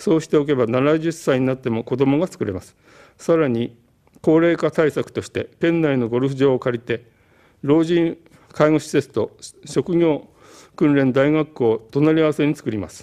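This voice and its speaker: A man's dark, mellow, fairly high voice at a moderate pace, with ordinary pitch variation, big swings in loudness, and a quiet background. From Japan. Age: 70s. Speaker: political candidate, physician; election candidate. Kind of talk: campaign broadcast speech. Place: studio. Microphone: podium.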